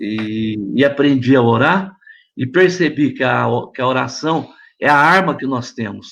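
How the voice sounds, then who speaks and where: At a very slow pace, a man holds a medium pitch that varies in an ordinary way. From São Paulo state, Brazil. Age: 70s. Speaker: pastor. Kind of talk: testimony.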